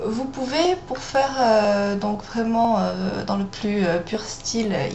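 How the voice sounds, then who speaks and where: At a very slow pace, a woman speaks at a medium pitch with ordinary pitch variation over noticeable background noise. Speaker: makeup tutorial host. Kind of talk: makeup tutorial talk to camera. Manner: hesitant, many fillers.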